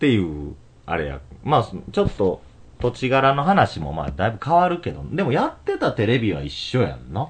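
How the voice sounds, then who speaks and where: Speaking at a moderate pace in a Kansai accent, the voice has vocal fry and very wide pitch swings. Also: man, medium pitch for a man. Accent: Kansai Japanese. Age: 30s. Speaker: podcast host. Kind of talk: casual chat. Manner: laughs often.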